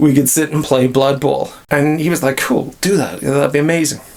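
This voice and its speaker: A man speaks with a Northern Irish accent. His pitch varies in an ordinary way. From Northern Ireland. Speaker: miniature hobby YouTuber. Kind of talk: casual talk to camera.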